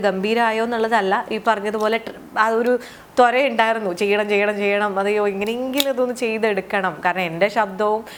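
Fairly high in pitch, a woman with an unremarkable speaking voice keeps her intonation fairly even. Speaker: actress and artist. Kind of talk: casual interview.

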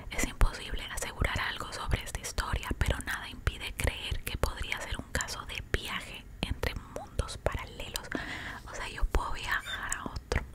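A woman whispers at a moderate pace in a playful tone. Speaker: ASMR content creator. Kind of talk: casual ASMR talk to camera, eating and storytelling. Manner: soft, whispered, playful and chatty. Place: home room. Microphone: studio mic.

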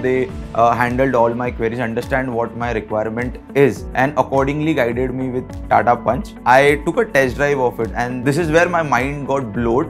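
Clear music plays behind a man talking at a moderate pace with ordinary pitch variation. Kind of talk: interview answer. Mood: enthusiastic, positive. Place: home room.

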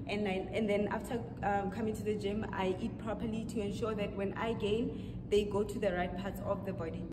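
A woman at a moderate pace with hardly any pauses, set against loud background noise. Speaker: fitness vlogger. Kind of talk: casual vlog chat. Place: gym. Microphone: camera far.

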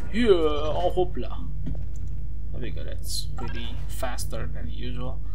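Noticeable background noise sits under speech delivered fairly slowly. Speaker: video game let's player. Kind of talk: casual gameplay commentary.

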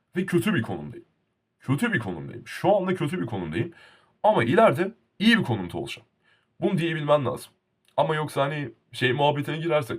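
A man's fairly high, fry-tinged voice at a fairly quick pace, with very wide pitch swings. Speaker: YouTuber. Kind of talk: casual vlog monologue. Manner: animated.

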